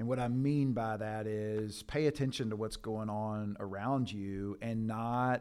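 With an American accent, a man at medium pitch speaks at a fairly slow pace with ordinary pitch variation in a very clean recording with a silent background. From Kentucky, near Louisville. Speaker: church planting strategist. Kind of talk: casual interview.

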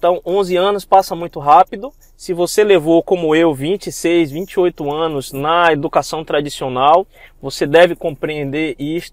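Speaking at a fairly slow pace, a man has a high pitch and fairly even intonation. The recording is very clean and dry, close with no echo, over a silent background. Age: 30s. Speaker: geoscience researcher and network-marketing entrepreneur. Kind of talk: motivational monologue podcast.

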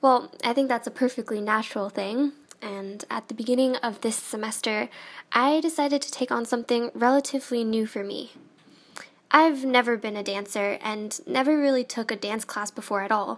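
Using a plain, everyday voice, a woman speaks at a moderate pace in a fairly high pitch with fairly even intonation. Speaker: student podcast host. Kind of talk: scripted narration.

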